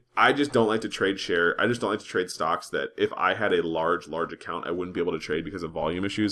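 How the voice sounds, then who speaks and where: Someone talks at a fairly quick pace on a very clean recording with a silent background. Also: man. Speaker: stock trading educator. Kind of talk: screen-share tutorial. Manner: fast; casual with fillers.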